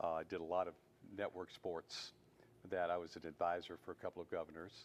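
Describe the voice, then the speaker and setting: A man with a Southern US accent speaks at a fairly quick pace in a very deep, low pitch. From US South, Mississippi. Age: 70s. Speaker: television producer and writer. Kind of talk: interview.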